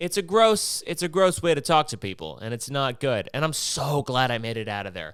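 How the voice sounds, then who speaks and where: In a very clean recording with a silent background, a man with an American accent speaks fairly quickly at a fairly high pitch with vocal fry. His pitch swings very widely. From Maryland, north of Baltimore. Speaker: podcast host. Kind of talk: casual monologue. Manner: rambling, hesitant.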